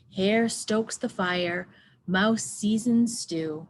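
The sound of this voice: The voice heard here is an unforced reading voice.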